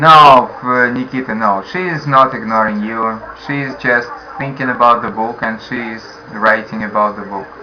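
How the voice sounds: At a moderate pace and with few pauses, a man talks with ordinary pitch variation amid audible room echo. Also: medium pitch for a man.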